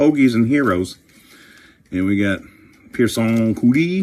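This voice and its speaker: An animated man at fairly low pitch, with very wide pitch swings. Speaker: career coach and card collecting video host. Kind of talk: casual pack-opening chat.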